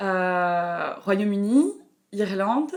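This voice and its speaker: A very slow pace with lively intonation. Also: woman. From France, Burgundy. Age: 20s. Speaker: traveler, backpacker. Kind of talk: interview. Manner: hesitant, many fillers.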